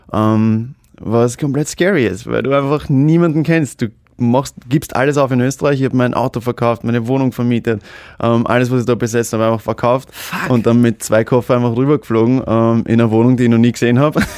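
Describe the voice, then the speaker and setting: Against a quiet background, a man speaks at a fairly quick pace with very even loudness and ordinary pitch variation, in a dry sound with no echo. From Austria. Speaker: actor and social media star; actor. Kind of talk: casual chat. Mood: cheerful, moved at end. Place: studio. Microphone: studio mic.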